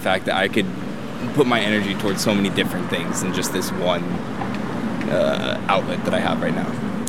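A man speaks at a fairly low pitch. There is noticeable background noise. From California, Monterey Bay. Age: 20s. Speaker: student, interviewee on the street. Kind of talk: street interview. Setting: outdoors.

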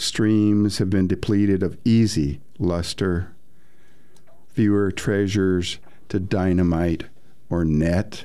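A man speaks at a very slow pace with long, frequent pauses, his very deep, low pitch carrying a dark, mellow tone. His intonation is fairly even, and audible room echo surrounds the voice. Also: very even loudness. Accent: American. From northern Indiana, US. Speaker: poet. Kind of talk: poetry reading.

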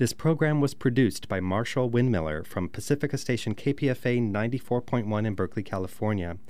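With an American accent and an unremarkable speaking voice, a man talks at a moderate pace and medium pitch, with lively intonation and hardly any pauses, on a very clean recording with a silent background. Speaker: archive director and radio host. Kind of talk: scripted narration introducing a historical program.

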